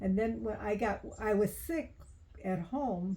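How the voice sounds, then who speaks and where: A woman speaks in a dark, mellow tone that sounds somewhat breathy. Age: 90s. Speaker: elderly relative telling family stories. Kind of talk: casual family interview. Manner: halting.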